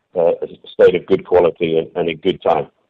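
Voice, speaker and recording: With a British accent, a man speaks at a moderate pace. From England. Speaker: company CEO, former military. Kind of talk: radio interview. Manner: hesitant, many fillers.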